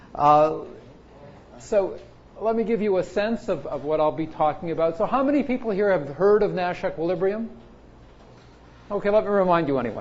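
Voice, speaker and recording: In a room with audible echo, a man with a high pitch speaks at a fairly quick pace with lively intonation and long, frequent pauses. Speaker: computer science professor. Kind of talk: lecture. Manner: fast.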